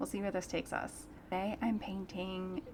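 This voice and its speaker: Noticeable noise sits behind the voice. The speaker is a woman. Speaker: artist. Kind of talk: casual chat. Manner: soft-spoken; relaxed.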